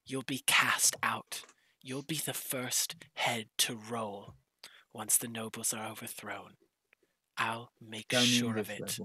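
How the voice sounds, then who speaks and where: Using a put-on character voice, a man speaks at a fairly slow pace in a raspy, monotone, flat delivery at medium pitch, with long, frequent pauses. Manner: calm, persuasive, smugly prophetic, turning menacing.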